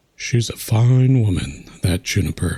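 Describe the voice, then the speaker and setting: A man's put-on character voice, medium in pitch, fairly slow, with lively intonation. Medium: game stream. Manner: folksy, chatty.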